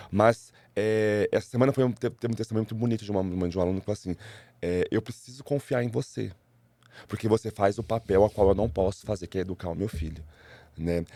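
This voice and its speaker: A man talks at a very fast pace in a fairly low pitch with ordinary pitch variation. His tone is dark and mellow. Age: 40s. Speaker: school teacher. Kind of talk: interview conversation. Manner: halting, with repeated words.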